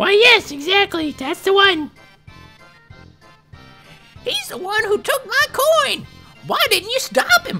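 In a put-on character voice, the speaker goes fairly slowly with long, frequent pauses, shrill and extremely high in pitch, over faint music in the background. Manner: complaining, indignant.

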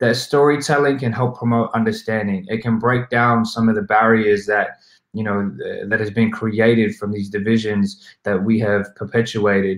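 In a quiet setting with audible room echo, a man with an Australian accent speaks at a moderate pace with fairly even intonation. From South West Sydney, Australia. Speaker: hip hop artist and activist. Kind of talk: summit talk about his song. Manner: reflective, hesitant with frequent repetitions. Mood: calm, earnest, reflective. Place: home room.

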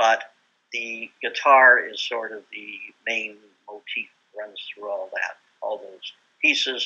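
In a Canadian accent, a man speaks at a very slow pace with long, frequent pauses. His loudness swings a lot. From Manitoba, Canada. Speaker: composer; interviewee. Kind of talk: casual chat. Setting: video call. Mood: relaxed, thoughtful. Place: home room. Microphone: video call.

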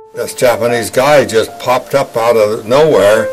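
Clear music runs in the background as a man talks. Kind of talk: interview answer. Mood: grave, recounting traumatic memory. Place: studio.

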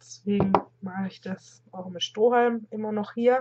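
Amid noticeable background noise, a woman speaks at a fairly slow pace with ordinary pitch variation. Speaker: vlogger. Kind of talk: casual vlog chat. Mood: warm, chatty. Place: home room. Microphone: webcam.

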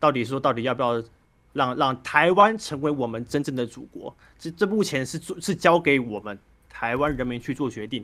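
Here a man speaks at a moderate pace with lively intonation. His tone is bright and sharp. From Taiwan, Penghu islands; Taiwan. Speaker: caller. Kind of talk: call-in political discussion. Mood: calm, reflective political talk.

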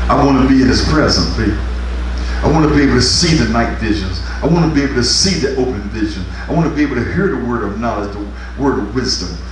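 Light background noise and audible room echo are present. A man speaks at a very fast pace. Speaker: pastor. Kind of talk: revival sermon, fervent call-and-response exhortation to congregation. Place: church. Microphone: camera far.

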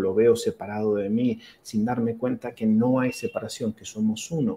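Monotone and flat in intonation, a man speaks at a fairly slow pace with a dark, mellow tone. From Argentina, Mar del Plata. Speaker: physician and akashic records reader. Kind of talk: interview. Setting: video call. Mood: calm, reflective, spiritual. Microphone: video call.

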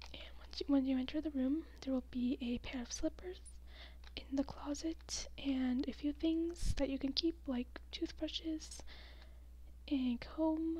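Soft-spoken, gentle-toned speech from a woman at a fairly slow pace. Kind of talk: soft role-play talk to the viewer. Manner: soft-spoken, gentle ASMR voice. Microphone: phone near.

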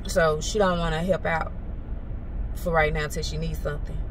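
There is light background noise. Over it, a woman talks. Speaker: lifestyle vlogger. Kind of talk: casual vlog talk to camera. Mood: animated, venting, annoyed. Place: car. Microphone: phone near.

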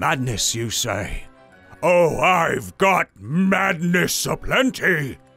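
A man's put-on character voice, high-pitched and very slow, with very wide pitch swings and faint music in the background. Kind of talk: comic overacting. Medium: read story. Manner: gleeful, theatrical, building to a reveal.

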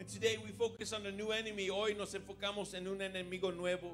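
Clear music plays behind a man talking at a very fast pace. His high-pitched voice has monotone, flat intonation. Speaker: preacher. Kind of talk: bilingual sermon. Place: church. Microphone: handheld.

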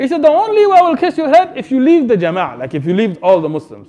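A man's animated, very fast speech with very wide pitch swings over noticeable background noise. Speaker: Islamic preacher. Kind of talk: sermon retelling a story of the companions, with rhetorical questions to the audience. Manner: animated, emphatic, in full flow, dramatizing the dialogue with a mocking tone; urgent and direct, addressing listeners.

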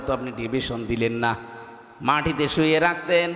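Noticeable background noise and audible room echo around a man with a fairly high pitch. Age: 30s. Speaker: Islamic preacher. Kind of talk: sermon at a religious gathering. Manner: animated.

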